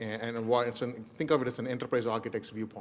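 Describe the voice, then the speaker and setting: A man with an Indian accent talks at a medium pitch in a monotone, flat delivery. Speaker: enterprise architect. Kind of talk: presentation. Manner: fast.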